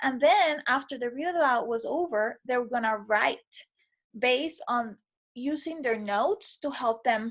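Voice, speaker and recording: Speaking at a fairly slow pace, a woman with a non-native accent uses a high pitch and lively intonation. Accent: non-native, sometimes mispronounces. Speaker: teacher. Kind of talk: reflective video feedback for a course. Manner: casual, with fillers.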